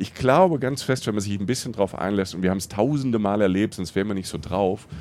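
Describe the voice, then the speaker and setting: An ordinary speaking voice from a man, fairly low in pitch, at a fairly quick pace with ordinary pitch variation. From southern Palatinate, Germany. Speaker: travel podcaster, journalist. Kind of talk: casual interview. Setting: on a train.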